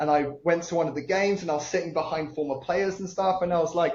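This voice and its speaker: A man's high voice in a British accent, with noticeable background noise. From UK. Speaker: entrepreneur. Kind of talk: podcast interview. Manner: occasional hesitations and fillers.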